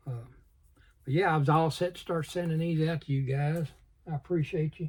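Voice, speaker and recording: Mumbling and somewhat breathy, a man with a Southern US accent talks at a fairly quick pace. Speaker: model car hobbyist YouTuber. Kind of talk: casual vlog. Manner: fast.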